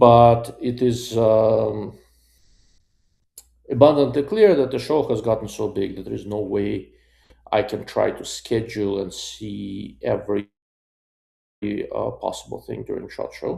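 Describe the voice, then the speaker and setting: Speaking at a fairly slow pace with long, frequent pauses, a man swings widely in loudness, in a very clean recording with a silent background. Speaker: optics reviewer, YouTuber. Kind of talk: live stream chat. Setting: hotel room. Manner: monotone.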